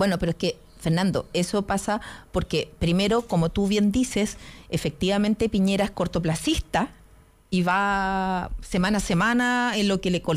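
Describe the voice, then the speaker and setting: In a plain, everyday voice, a woman speaks at a medium pitch with ordinary pitch variation on a very clean recording with a silent background. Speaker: journalist and political panelist. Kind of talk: political panel discussion.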